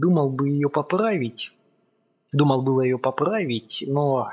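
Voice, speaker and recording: A man talks in a normal speaking voice at a fairly slow pace. His pitch sits fairly high. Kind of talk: audiobook narration, first-person literary reading. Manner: measured, storytelling pace, building suspense.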